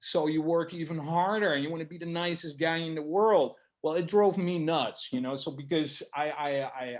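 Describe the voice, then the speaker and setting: A man with a Dutch accent speaks at a moderate pace with hardly any pauses. His pitch is fairly high, with ordinary variation. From Netherlands. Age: 40s. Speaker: barber. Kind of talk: interview. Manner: halting.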